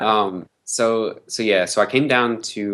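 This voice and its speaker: A man with a Southern US accent speaks with fairly even intonation against a quiet background. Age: 20s. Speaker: nutrition expert. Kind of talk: interview. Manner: hesitant, many fillers.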